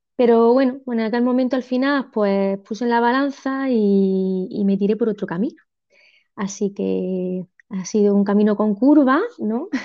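A woman with a fairly high voice speaks at a fairly slow pace, her pitch varying in an ordinary way. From Spain, Almería. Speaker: secondary school teacher and author. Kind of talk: interview. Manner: halting, many fillers.

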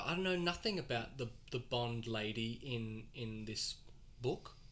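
A man with an Australian accent speaks at a fairly slow pace. His tone is bright and sharp, and his intonation is lively. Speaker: podcast host. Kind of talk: casual chat.

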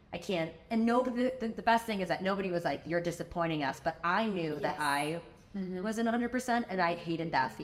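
Over noticeable background noise, a woman with an American accent talks at a fairly quick pace, her medium-pitched voice lively in intonation. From US Midwest, Chicago. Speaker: tech executive and entrepreneur. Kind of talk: interview conversation.

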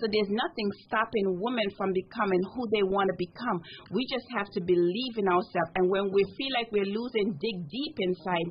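This woman's fairly brisk speech is somewhat breathy, its pitch varying in a normal way. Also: medium pitch for a woman.

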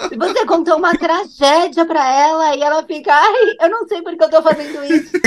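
Speaking at a moderate pace, a woman has an extremely high pitch, with noticeable background noise behind her. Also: ordinary pitch variation, hardly any pauses. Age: 40s. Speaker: podcast guest. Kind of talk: casual chat.

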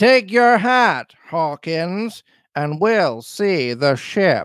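Someone puts on a character voice with a fairly bright tone and lively intonation. The pace is very slow, and the recording is very clean with a silent background. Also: man, high pitch for a man.

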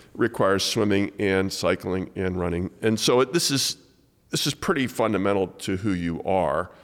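A man speaks at a moderate pace in a normal speaking voice, fairly low-pitched with ordinary pitch variation, on a very clean recording with a silent background. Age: 60s. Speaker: podcast host and author. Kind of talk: casual interview. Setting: studio, in person.

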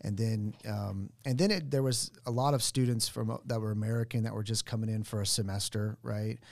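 A man talks at a fairly quick pace with hardly any pauses, his fairly low voice keeping fairly even intonation; a normal speaking voice. The recording is very clean, with a silent background. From Oklahoma, US. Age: 40s. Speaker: financial advisor. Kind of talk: casual interview. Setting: studio.

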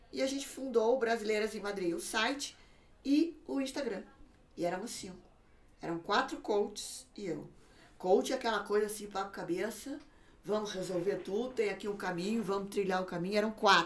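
With lively intonation, a woman speaks in a normal speaking voice at a medium pitch and a moderate pace. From Brazil, São Paulo. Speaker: social media consultant for emigrants. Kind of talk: casual interview. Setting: studio.

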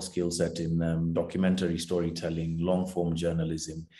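Moderate pace and a dark, mellow tone from a man. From Kenya. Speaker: investigative journalist. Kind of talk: interview. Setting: remote call. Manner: halting.

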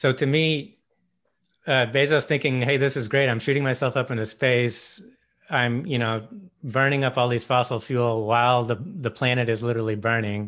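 A man's plain, everyday voice at medium pitch and moderate pace, with fairly even intonation, in a very clean recording over a silent background. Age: 40s. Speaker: podcast host. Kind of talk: casual chat.

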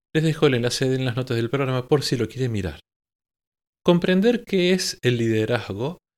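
Very wide pitch swings from a man at medium pitch, fairly quick in pace, on a very clean recording with a silent background. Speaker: choral conductor and podcast host. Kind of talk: podcast monologue on choral directing.

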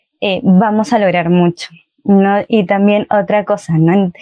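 Speaking at a fairly slow pace, a woman with a normal speaking voice keeps a medium pitch and fairly even intonation. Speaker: youth group coordinator. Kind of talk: casual chat.

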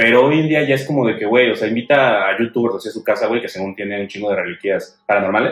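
Barely pausing, a man rattles off his words at a very fast pace. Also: medium pitch for a man, ordinary pitch variation. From Mexico City. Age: 20s. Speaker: podcast co-host. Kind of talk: casual chat.

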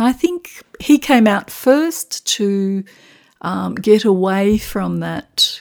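A woman at a medium pitch, very slow in pace, with very wide pitch swings, on a very clean recording with a silent background. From Macedonia, later Melbourne Australia. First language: Macedonian. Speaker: secondary school teacher, host's mother. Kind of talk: casual interview. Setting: in London, visiting her son.

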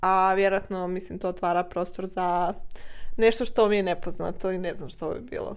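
A woman talks at a moderate pace with fairly even intonation. She has a plain, everyday voice. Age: 20s. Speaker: guest, host's sister. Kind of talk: casual chat interview.

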